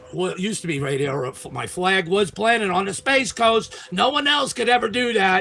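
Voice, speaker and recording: Speaking with a Long Island accent, a man uses a raised, projected voice at a high pitch with very wide pitch swings. His pace is moderate, and noticeable background noise can be heard. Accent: New York (Long Island). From Long Island, New York. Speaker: Mars researcher and internet show host. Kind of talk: casual chat.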